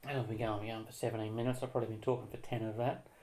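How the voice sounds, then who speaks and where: There is audible room echo as a man speaks with an Australian accent. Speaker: comeback trumpet player, video blogger. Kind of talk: casual vlog monologue. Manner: fast; hesitant, many fillers.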